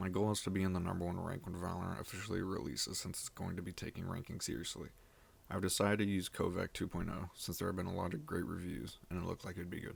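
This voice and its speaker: A man talks at a very fast pace in a very deep, low pitch. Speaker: gamer. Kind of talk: gaming video voice-over narration. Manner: monotone.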